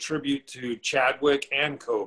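Bright and sharp in tone, a man with a Californian accent speaks at a fairly high pitch. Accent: Californian American. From Northern California, Chico; Northern California. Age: 40s. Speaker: artist; interviewee. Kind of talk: interview. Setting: video call. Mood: relaxed, conversational. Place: home room. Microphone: video call.

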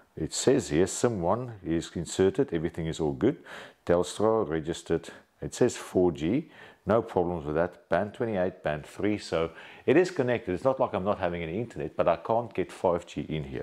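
Lively intonation marks this man's very deep, low voice, dark and mellow in tone. He talks at a moderate pace against a quiet background. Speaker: presenter. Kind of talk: tutorial. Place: home room.

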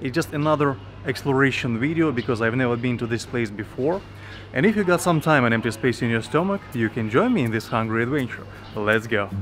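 Faint music sits in the background as a man talks at a very fast pace. His pitch varies in an ordinary way. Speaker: travel vlogger. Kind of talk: casual vlog chat. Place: station. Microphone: lapel.

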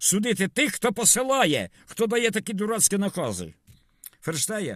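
A man talks at a moderate pace. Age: 70s. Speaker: video blogger. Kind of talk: monologue vlog. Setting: in a car. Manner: rambling code-switching between Russian and Ukrainian.

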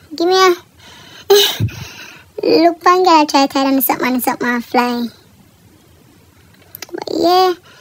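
Noticeable background noise fills the clip. Over it, a woman speaks at a moderate pace. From Jamaica. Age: 20s. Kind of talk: casual voiceover for hair tutorial.

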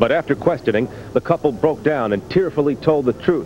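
Over faint background noise, a man talks at a fairly quick pace with a fairly high pitch, a slightly mellow tone and lively intonation.

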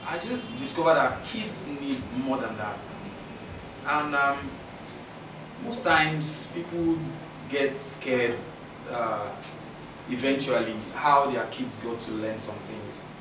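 A man's very slow speech with long, frequent pauses, audible room echo and noticeable background noise. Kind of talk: interview answer. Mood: reflective, animated. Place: studio.

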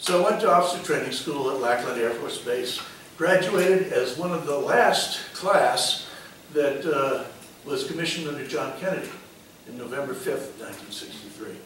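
Amid audible room echo and light background noise, a man with an American accent and a fairly high pitch speaks at a moderate pace. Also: lively intonation. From Connecticut, West Hartford. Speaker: retired air force officer. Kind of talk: public talk. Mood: reflective storytelling. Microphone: podium.

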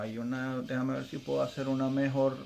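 A man's monotone, flat delivery at a moderate pace over light background noise. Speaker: toy collector reviewer. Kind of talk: casual product review. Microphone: phone near.

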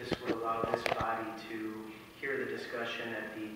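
Speaking at a moderate pace, a man is heard with strong room echo. Noticeable background noise sits behind him. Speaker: council member. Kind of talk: formal meeting motion. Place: hall.

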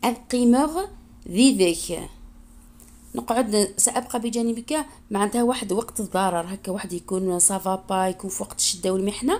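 Her voice is a plain, everyday voice, fairly high for a woman, with ordinary pitch variation. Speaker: language teacher YouTuber. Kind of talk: tutorial. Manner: slow, repetitive.

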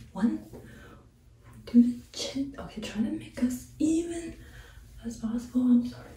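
Whispering at a fairly slow pace, a woman is heard with light background noise and audible room echo. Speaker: vlogger. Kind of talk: casual talk to camera. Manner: whispered. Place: home room. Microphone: camera far.

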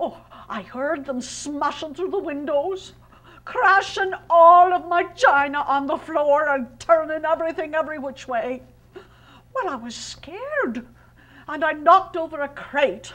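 Putting on a character voice, a woman speaks at an extremely high pitch and a fairly slow pace, with lively intonation, big swings in loudness and long, frequent pauses. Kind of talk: one-woman historical play.

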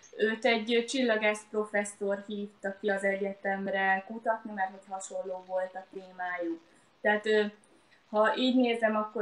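A woman at a fairly slow pace, her loudness swinging a lot, with audible room echo. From Hungary. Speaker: lawyer and author, mother; interview guest. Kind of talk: live online interview. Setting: live Facebook video stream. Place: home room. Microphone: webcam.

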